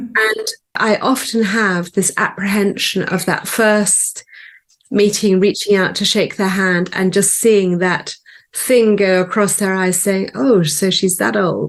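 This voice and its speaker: An ordinary speaking voice from a woman at a medium pitch, fairly slow in pace with fairly even intonation and very even loudness, over a quiet background. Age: 60s. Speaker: business owner. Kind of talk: interview.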